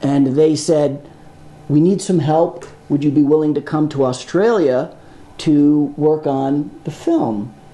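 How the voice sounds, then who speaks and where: A man talks at a very slow pace with a fairly high pitch. His intonation stays fairly even, and background noise is noticeable. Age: 60s. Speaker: film sound designer. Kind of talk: panel discussion with students.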